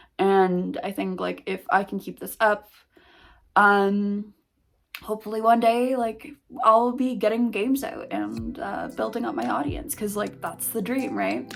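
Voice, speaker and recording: A woman's medium-pitched voice with lively intonation at a fairly slow pace, music playing in the background. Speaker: indie game developer vlogger. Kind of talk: casual vlog. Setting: basement home office. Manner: pitch rises when excited.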